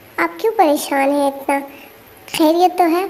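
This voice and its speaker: Over clear background noise, a woman performs a cartoonish character voice at an extremely high pitch. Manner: soft, caring.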